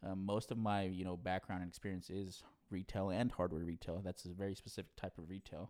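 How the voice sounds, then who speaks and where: With an American accent, a man speaks fairly quickly in a very deep, low voice and flat, monotone intonation. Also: very clean recording, silent background. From Southern California, Orange County. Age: 30s. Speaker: retail store manager. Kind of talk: interview.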